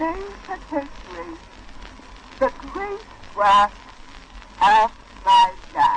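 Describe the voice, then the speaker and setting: A woman speaks at an extremely high pitch with very wide pitch swings. She talks very slowly with long, frequent pauses over noticeable background noise. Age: 70s. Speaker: nurse. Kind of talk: historic wax cylinder recording, formal spoken message.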